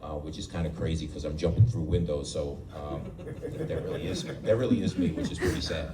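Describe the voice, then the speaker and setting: A man with an American accent, heard through audible room echo and noticeable background noise. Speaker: real estate agent. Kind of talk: panel talk to audience. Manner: halting.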